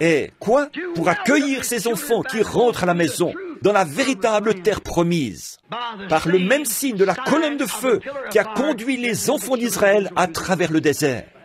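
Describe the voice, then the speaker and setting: Amid noticeable background noise, the voice swings very widely in pitch at a fairly slow pace while its loudness stays very even. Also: man, high pitch for a man. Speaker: preacher. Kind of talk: sermon.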